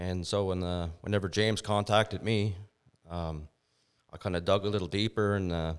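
A man with a Maritime Canadian accent talks at a moderate pace. His pitch is very deep and low, and his intonation fairly even. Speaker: business owner. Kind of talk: interview.

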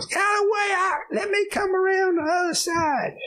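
A man speaks in an extremely high, put-on character voice. Light background noise sits behind him. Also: moderate pace. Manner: urgent, shouting.

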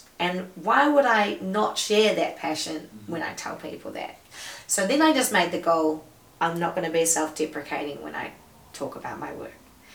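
Loudness swings widely at a moderate pace over noticeable background noise. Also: woman. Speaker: comedian, psychologist, MC and musician. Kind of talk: casual chat. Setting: podcast.

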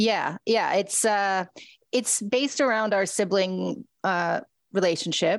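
A woman speaks at a very slow pace with a medium-pitched voice. The recording is very clean, with a silent background. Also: ordinary pitch variation, very even loudness. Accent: Canadian. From Ontario, Canada. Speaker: radio host and writer. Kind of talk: casual interview.

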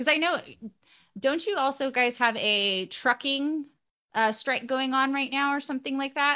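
A woman with an American accent uses a raised, projected voice that is high, bright and sharp, keeping a moderate pace and ordinary pitch variation. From Bay Area, California. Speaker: podcaster and nanny. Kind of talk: casual chat. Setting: remote call from home.

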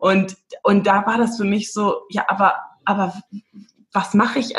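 Her voice is somewhat breathy, and this woman's pitch sits in the medium range. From Namibia (Windhoek, German-Namibian community). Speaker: former film actress, personal development coach. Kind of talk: casual interview chat.

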